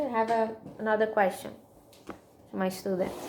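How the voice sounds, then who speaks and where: A woman speaks in a fairly high pitch. Her delivery is fairly slow. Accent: strong Brazilian. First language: Portuguese. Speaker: student presenter. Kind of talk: class presentation. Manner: halting, many fillers.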